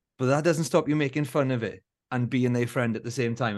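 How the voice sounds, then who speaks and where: Very fast, a man speaks at medium pitch in a Welsh Valleys accent. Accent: south Welsh (Valleys). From Wales, Rhondda valleys. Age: 40s. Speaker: musician and former elite runner. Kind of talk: casual interview chat. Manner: animated, laughing often.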